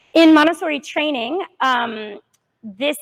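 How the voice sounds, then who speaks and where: Loudly and at a fairly slow pace, a woman talks with ordinary pitch variation. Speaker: Montessori teacher. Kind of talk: parent workshop presentation. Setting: classroom with live audience, no microphone.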